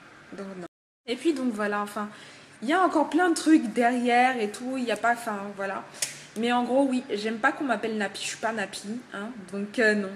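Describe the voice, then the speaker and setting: Pausing long and frequently, a woman with a fairly high pitch speaks at a moderate pace, with ordinary pitch variation and big swings in loudness. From Togo. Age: 20s. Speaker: hair shop worker and student. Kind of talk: casual vlog. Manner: hesitant, many fillers.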